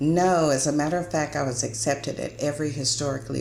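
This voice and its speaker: A woman's very deep, low voice with ordinary pitch variation, amid noticeable background noise. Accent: American. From Austin, Texas. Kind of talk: interview answer.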